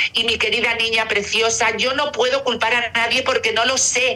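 Amid noticeable background noise, a woman with a Castilian accent speaks at a moderate pace and a fairly high pitch. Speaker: celebrity's mother. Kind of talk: interview.

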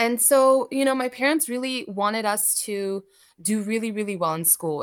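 A woman with an American accent has an ordinary speaking voice, pitched fairly high with lively intonation, on a very clean recording with a silent background. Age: 30s. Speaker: coffee roaster and business owner. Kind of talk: interview.

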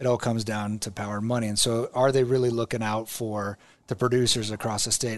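Speaking at a fairly quick pace, a man with a Midwestern American accent keeps a medium pitch and monotone, flat intonation. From Nebraska, Omaha. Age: 40s. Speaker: state senator and governor candidate. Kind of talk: casual interview.

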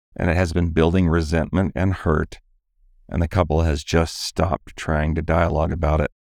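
Recorded dry and close with no echo against a silent background, a man with a very deep, low voice and vocal fry talks at a moderate pace with fairly even intonation. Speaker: relationship podcast host and coach. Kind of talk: podcast conversation between married co-hosts.

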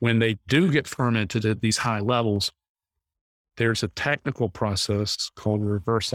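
A man with an American accent has an ordinary speaking voice at medium pitch and a moderate pace. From North Carolina. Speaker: wine company founder. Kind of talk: interview.

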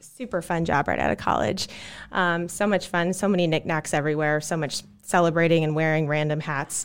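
Fairly low in pitch, a woman has an ordinary speaking voice at a moderate pace in a very clean recording with a silent background. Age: 30s. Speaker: marketing director. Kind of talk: casual chat.

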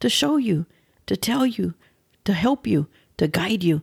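In an American accent, a somewhat breathy voice moves at a fairly slow pace through very wide pitch swings, recorded very cleanly with a silent background and a dry, close sound free of echo. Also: woman. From West Texas. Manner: animated, varying volume, humorous.

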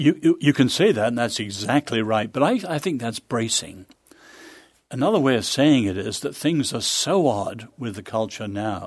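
A man with a British accent speaks at medium pitch and a moderate pace, his intonation lively. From England, childhood partly in China. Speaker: author and social analyst. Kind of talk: interview conversation. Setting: studio.

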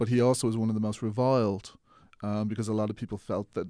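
In an Irish accent, a man speaks at a fairly low pitch with a dark, mellow tone and monotone, flat intonation. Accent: soft Irish, often heard as Mid-Atlantic. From Ireland. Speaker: filmmaker. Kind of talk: casual interview.

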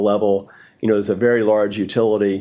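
Speaking at a very fast pace, a man talks in a fairly low pitch. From rural United States. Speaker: energy company chief executive. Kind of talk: interview.

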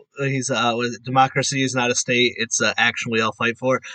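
A man with an American accent talks very fast at medium pitch in a bright, sharp tone. The sound is dry and close, with no echo. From Connecticut, US. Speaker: podcast host, guest. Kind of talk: casual interview chat. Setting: video call.

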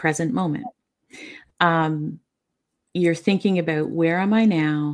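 Soft-spoken and fairly low in pitch, a woman talks at a fairly slow pace with fairly even intonation on a very clean recording with a silent background. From Newfoundland, Canada. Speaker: author and bereaved mother. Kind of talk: interview.

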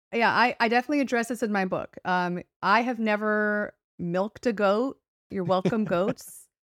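Recorded very cleanly over a silent background, a woman speaks at a moderate pace with a fairly high pitch and ordinary pitch variation. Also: dry, close sound with no echo. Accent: Californian. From Los Angeles, US West Coast. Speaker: author. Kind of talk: interview, casual chat.

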